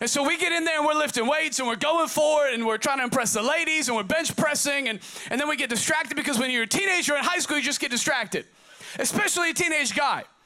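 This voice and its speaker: Over noticeable background noise, a man with an American accent uses a raised, projected voice at an extremely high pitch, talking at a very fast pace with an animated tone, ordinary pitch variation and very even loudness. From Oregon, US. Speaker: pastor. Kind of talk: sermon. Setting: church service. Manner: repetitive, halting.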